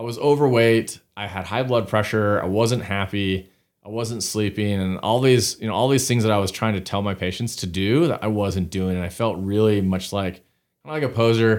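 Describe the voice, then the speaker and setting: Over a very clean recording with a silent background, a man with an American accent speaks at a moderate pace, his fairly low pitch showing ordinary variation. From Utah, US (Salt Lake City). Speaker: family doctor. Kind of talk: interview. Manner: halting, with frequent repetitions and fillers.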